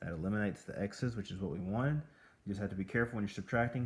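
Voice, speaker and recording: Here a man with a normal speaking voice talks at a fairly low pitch, with ordinary pitch variation. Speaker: math teacher. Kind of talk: tutorial.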